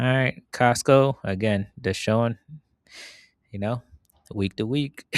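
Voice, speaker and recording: With a dry, close sound and no echo, a man of medium pitch speaks at a very slow pace with ordinary pitch variation and long, frequent pauses. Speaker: investing video host. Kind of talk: casual market commentary. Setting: outdoors in backyard at night.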